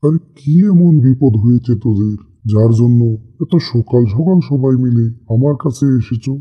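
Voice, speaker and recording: This man puts on a cartoonish character voice at a medium pitch and a fairly slow pace. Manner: authoritative.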